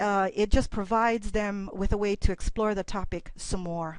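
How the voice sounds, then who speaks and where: This is a woman with a plain, everyday voice, talking at a moderate pace. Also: quiet background. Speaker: college instructor. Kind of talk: presentation.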